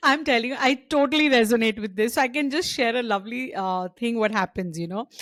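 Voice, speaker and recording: An ordinary speaking voice, a woman's, fairly high in pitch, with lively intonation and hardly any pauses. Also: fairly quick pace. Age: 50s. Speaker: podcast host. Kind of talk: casual chat.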